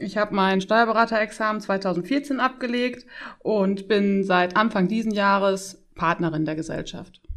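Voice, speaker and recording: A woman with an unremarkable speaking voice talks at medium pitch and a fairly slow pace. Her pitch varies in an ordinary way against a quiet background. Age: 30s. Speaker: tax advisor, firm partner. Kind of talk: interview.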